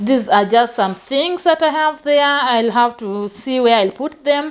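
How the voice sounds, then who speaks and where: Pitched high, a woman's voice moves with ordinary pitch variation. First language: not English. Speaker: vlogger. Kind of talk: casual vlog. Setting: home, filming her room. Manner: halting.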